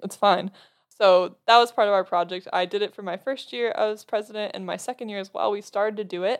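A woman's medium-pitched, fairly quick delivery with fairly even intonation and big swings in loudness, an ordinary speaking voice. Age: young. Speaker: college student. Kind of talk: casual chat.

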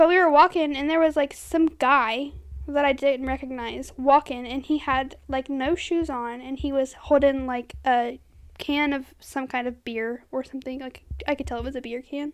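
In a very clean recording with a silent background, a woman speaks at a moderate pace with a high pitch. Her intonation is fairly even, though her loudness swings widely. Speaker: podcast co-host. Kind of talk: casual chat.

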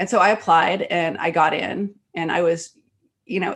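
With an American accent and a plain, everyday voice, a woman talks at a medium pitch and with fairly even intonation. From Texas Gulf Coast. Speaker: writer and film producer. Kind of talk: casual interview chat.

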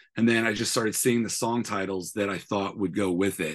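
In an American accent, a man talks at a fairly low pitch with lively intonation against a quiet background. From San Francisco, US. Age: 30s. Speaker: singer-songwriter. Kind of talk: casual interview chat. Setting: remote call. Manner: hesitant with fillers.

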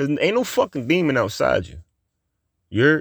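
A man with a fairly high-pitched voice is heard on a very clean recording with a silent background. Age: 30s. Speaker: podcast host. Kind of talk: casual monologue. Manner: laid-back, laughing often.

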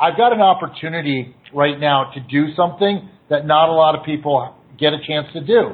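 A man talks at a moderate pace with a fairly high pitch. His pitch variation is ordinary, and it is a normal speaking voice. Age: 40s. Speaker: music booking agent. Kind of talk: casual chat.

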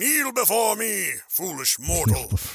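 Putting on a character voice, a man speaks at a high pitch. His pace is fairly slow. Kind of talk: booming, dramatic. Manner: mock-grandiose, commanding.

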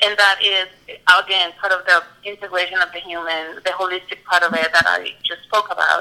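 A woman speaks in a medium pitch with a Spanish accent. Her pace is moderate and her intonation fairly even. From Colombia, Medellin. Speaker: mental health counselor. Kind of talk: interview.

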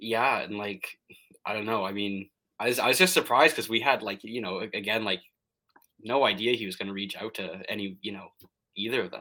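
With a bright, sharp tone and a fairly low pitch, a man speaks with ordinary pitch variation, long, frequent pauses and big swings in loudness. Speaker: Sasquatch club founder. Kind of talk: casual interview chat. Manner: hesitant, filler-heavy.

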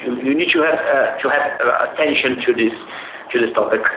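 A man with a Portuguese accent, noticeable background noise and audible room echo. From Brazil. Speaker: sports lawyer. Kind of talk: interview. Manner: halting, many fillers.

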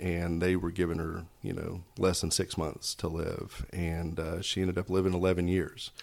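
A man speaks at a moderate pace in a very deep, low voice, with an East Tennessee accent. The recording is very clean, with a silent background. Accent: East Tennessee Southern US. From Knoxville, Tennessee. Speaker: hospital foundation fundraiser. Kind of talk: casual interview.

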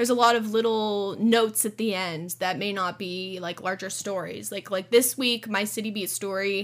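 A woman talks at a moderate pace with hardly any pauses. Her pitch is medium and her intonation fairly even. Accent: Californian. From Southern California, Orange County. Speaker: newspaper editor. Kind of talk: casual interview.

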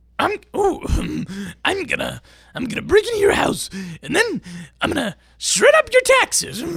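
A man speaks in a put-on character voice at an extremely high pitch, with a fairly slow pace and long, frequent pauses. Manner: menacing, threatening.

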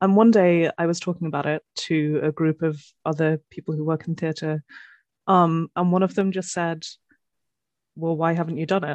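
A woman's fairly low, monotone voice with a British accent at a moderate pace, long, frequent pauses, a quiet background and dry, close sound with no echo. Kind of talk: casual chat. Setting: video call.

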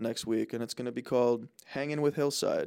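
A man speaks in a normal speaking voice with an American accent. His intonation is fairly even, his pace moderate. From New Jersey. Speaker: college student podcast co-host. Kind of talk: casual chat.

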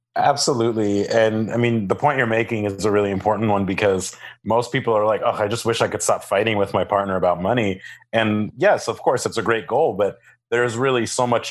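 In a very clean recording with a silent background, a man with an ordinary speaking voice talks at a fairly quick pace, his pitch fairly low and his intonation fairly even. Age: 30s. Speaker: couples financial counselor. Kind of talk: interview.

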